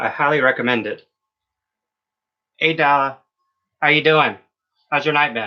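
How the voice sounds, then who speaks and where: A man with a fairly high pitch speaks at a moderate pace. His intonation stays fairly even, broken by long, frequent pauses. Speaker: beauty livestreamer. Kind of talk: casual chat. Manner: loud.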